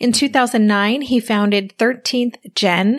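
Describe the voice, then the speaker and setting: In a very clean recording with a silent background, a woman with an unremarkable speaking voice talks in a fairly even intonation. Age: 50s. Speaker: podcast host. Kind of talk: interview.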